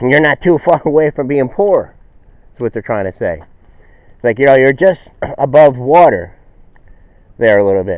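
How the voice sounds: Long, frequent pauses break up a man's speech, delivered in a slightly mellow tone. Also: medium pitch for a man, lively intonation, moderate pace.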